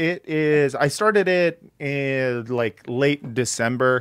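At a very slow pace, a man speaks with fairly high pitch and ordinary pitch variation. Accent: American. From US West Coast. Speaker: podcast host. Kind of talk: casual conversation. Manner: halting, many fillers.

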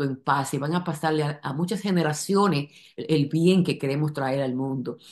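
Against a quiet background, a woman with a very deep, low pitch talks at a moderate pace with ordinary pitch variation. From Dominican Republic. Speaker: company member. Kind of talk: testimonial video address. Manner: halting, many fillers and repetitions. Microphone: webcam.

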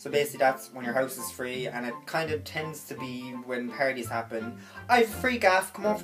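With clear music in the background, a man talks at a moderate pace with hardly any pauses. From Cork, Ireland. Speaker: vlogger. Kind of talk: casual comedy tutorial to camera. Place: home room. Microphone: phone near.

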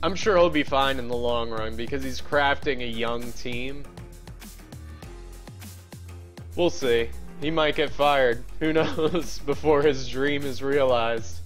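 With faint music behind him, a man speaks at a fairly slow pace. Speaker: game streamer. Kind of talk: casual stream chat. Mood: relaxed, chatty. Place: home room. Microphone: headset.

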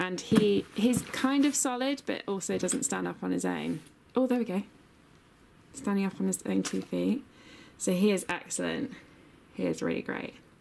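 A woman speaks in a southern English accent at a moderate pace. Long, frequent pauses and noticeable background noise run through the clip. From England. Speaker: vlogger. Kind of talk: casual vlog.

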